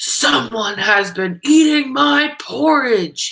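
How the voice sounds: A woman's loud, growling put-on character voice, fairly high in pitch, with very wide pitch swings and a very slow pace.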